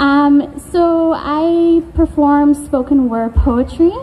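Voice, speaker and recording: A woman speaks with a Canadian accent and ordinary pitch variation. Noticeable background noise sits behind her. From Canada, Coast Salish, Vancouver Island area. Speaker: spoken word poet. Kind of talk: spoken word performance. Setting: stage with audience.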